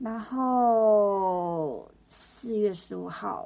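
Her voice has a dark, mellow tone and sits at a fairly high pitch for a woman. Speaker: podcast co-host, entertainment and arts industry worker. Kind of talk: casual chat.

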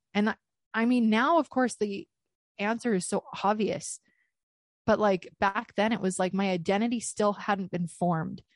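Ordinary pitch variation at a moderate pace, with a dry, close sound, no echo, a quiet background, and very even loudness. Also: woman, medium pitch for a woman. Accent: Canadian. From Canada. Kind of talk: testimony interview. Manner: frequent hesitations (um, uh) and laughter.

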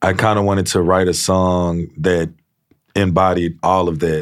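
A man's very deep, low voice stays in a monotone, flat intonation. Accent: Louisiana. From Louisiana (Shreveport). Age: 20s. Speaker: country singer. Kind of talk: casual chat. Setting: studio.

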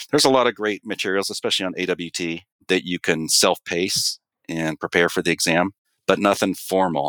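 The sound is dry and close with no echo as a man with a very deep, low pitch speaks at a fairly quick pace and ordinary pitch variation. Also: very clean recording, silent background. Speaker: water treatment regional manager. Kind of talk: casual interview.

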